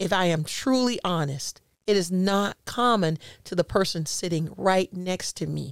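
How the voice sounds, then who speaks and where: Here is an unremarkable speaking voice from a woman at medium pitch with ordinary pitch variation. She goes at a fairly slow pace, and the sound is dry and close with no echo. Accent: American. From US South, Jacksonville, Florida. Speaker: podcast host and life coach. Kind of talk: casual interview chat.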